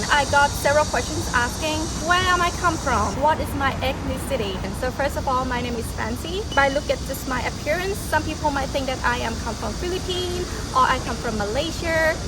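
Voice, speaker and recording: Someone speaks in a Thai accent at a fairly quick pace, with ordinary pitch variation. Audible room echo and noticeable background noise are present. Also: woman. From Thailand. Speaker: travel vlogger. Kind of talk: casual vlog Q&A. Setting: outdoors.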